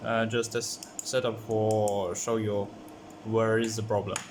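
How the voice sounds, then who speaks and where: At a very slow pace, a man with a medium-pitched voice and a non-native accent talks amid audible room echo. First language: not English. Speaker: electronics hobbyist. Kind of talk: tutorial. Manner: halting, many fillers.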